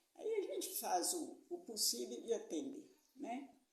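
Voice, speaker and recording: A woman's high-pitched voice with very wide pitch swings and audible room echo. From Minas Gerais, Brazil. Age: 80s+. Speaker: retired teacher and local tradition keeper. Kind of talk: interview testimony.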